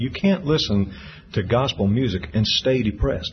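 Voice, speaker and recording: A man with an American accent, with noticeable background noise. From Tampa, Florida. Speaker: gospel singer. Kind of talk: interview.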